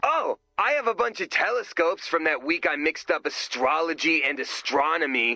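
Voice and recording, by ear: A put-on character voice, bright and sharp, with lively intonation at a moderate pace over faint background music. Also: man, fairly high pitch for a man.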